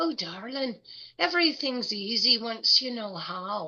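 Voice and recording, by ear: In a put-on character voice with a strong Scottish accent, a female-sounding voice at a fairly high pitch speaks at a fairly slow pace. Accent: thick Scottish.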